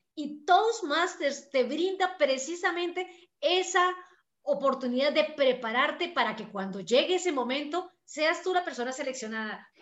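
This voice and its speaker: A woman speaks at a high pitch and moderate pace. Her intonation is lively. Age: 50s. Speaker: podcast host. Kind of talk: interview.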